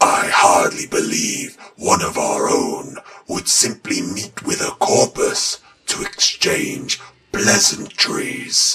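Raspy and high-pitched, a man speaks at a very slow pace. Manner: formal, stern, authoritative.

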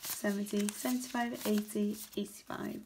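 A woman's fairly high voice holds fairly even intonation amid noticeable background noise. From UK. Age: 20s. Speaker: budgeting vlogger. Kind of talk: casual tutorial, counting cash. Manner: low energy. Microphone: phone near.

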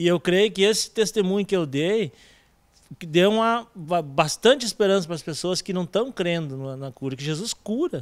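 This man's high pitch and lively intonation come at a moderate pace. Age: 30s. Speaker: church member; interviewee. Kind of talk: testimony. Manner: halting. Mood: earnest, religious fervor. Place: hall. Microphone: handheld.

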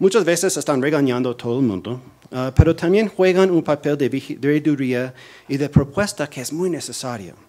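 At a moderate pace, a man talks with a fairly high pitch. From US, New Jersey. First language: English (speaking Spanish). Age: 40s. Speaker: policy analyst, think tank director; policy analyst. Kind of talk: lecture. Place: hall. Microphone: podium.

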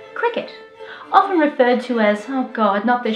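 A woman with an Australian accent talks at a fairly quick pace in a high pitch with very wide pitch swings. Faint music plays in the background, and there is audible room echo. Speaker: comedian. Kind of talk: comedic spoof explainer to camera. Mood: dry mock-serious humour. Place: home room.

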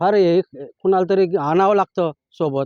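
The speaker is a man with a high pitch. His tone is dark and mellow. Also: dry, close sound with no echo. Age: 60s. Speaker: farmer. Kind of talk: interview testimony.

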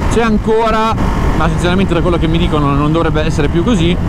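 A man is speaking. Loud background noise fills a dry sound with no echo. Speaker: motorcycle vlogger test rider. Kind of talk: casual vlog chat. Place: motorbike. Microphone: helmet.

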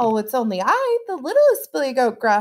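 Putting on a character voice, a woman speaks at a moderate pace in a high pitch.

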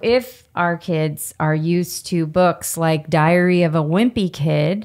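Over a quiet background, a woman talks at a medium pitch. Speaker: podcast co-host. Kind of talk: casual interview. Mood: earnest, warm. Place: home room. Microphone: studio mic.

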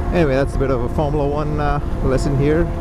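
Loud background noise runs behind the speech, and the sound is dry with no echo. The pace is moderate. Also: man. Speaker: motovlogger rider. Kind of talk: casual vlog chat. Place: motorbike. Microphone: helmet.

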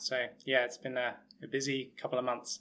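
A man's medium-pitched voice with an English accent, a bright, sharp tone, monotone, flat intonation and a moderate pace. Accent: English, still noticeable after years abroad. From England, Hertfordshire. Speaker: sports physiologist and researcher. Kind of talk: interview. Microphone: webcam.

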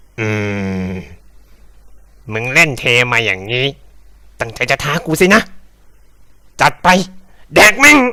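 A man's put-on character voice sits at a medium pitch. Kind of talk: comedic parody fan dub. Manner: crude, brash.

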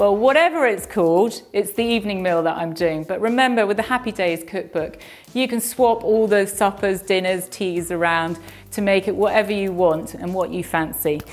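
A woman talks at a moderate pace with ordinary pitch variation. Faint music plays in the background. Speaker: presenter. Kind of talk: cooking tutorial. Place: kitchen.

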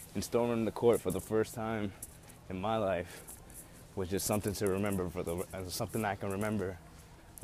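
A man with a very deep, low pitch talks at a fairly quick pace in a monotone, flat intonation, the sound dry with no echo and light background noise. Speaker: university student vlogger. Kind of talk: casual vlog chat. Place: street. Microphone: earbuds.

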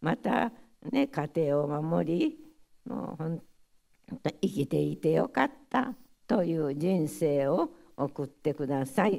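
A woman with a Hiroshima accent speaks in a very deep, low pitch and a dark, mellow tone, with vocal fry and lively intonation. Her pace is very slow, broken by long, frequent pauses, over a quiet background. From Hiroshima, Japan; Japan. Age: 90s. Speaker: atomic bomb survivor. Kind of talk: testimony. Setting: audience of school pupils. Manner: halting. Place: hall. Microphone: podium.

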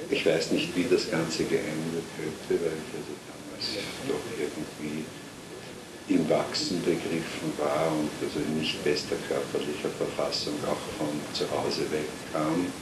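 A man speaks at a fairly slow pace. Loud background noise fills the recording. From Vienna, Austria. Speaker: writer and Holocaust-era refugee witness. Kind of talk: oral history interview answer. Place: home room.

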